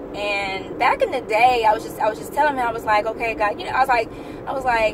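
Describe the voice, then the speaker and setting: Noticeable background noise surrounds a woman speaking at a fairly high pitch with ordinary pitch variation. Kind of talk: casual talk to camera. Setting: in a car.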